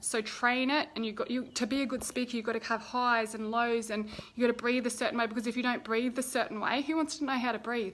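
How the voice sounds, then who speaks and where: A woman talks at a very fast pace with hardly any pauses. Her high-pitched voice has an animated tone. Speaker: speaking coach and former champion athlete. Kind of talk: casual Facebook live talk. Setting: Facebook live video.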